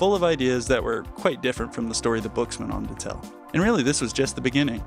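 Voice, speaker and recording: Over music in the background, a man talks at a very fast pace with a medium pitch. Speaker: video essayist. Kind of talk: video essay narration. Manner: flat, drab.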